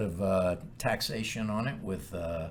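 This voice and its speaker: A man with an American accent, with audible room echo. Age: 60s. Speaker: podcast co-host, title company president. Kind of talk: casual chat.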